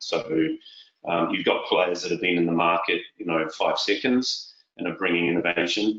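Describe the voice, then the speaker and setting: Speaking at a moderate pace, a man talks with a New Zealand accent. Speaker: tech sales executive. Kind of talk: interview.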